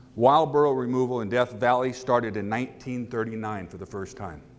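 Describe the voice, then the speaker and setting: There is audible room echo around a man who speaks at a moderate pace and a medium pitch. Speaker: donkey rescuer. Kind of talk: conference talk. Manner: loud.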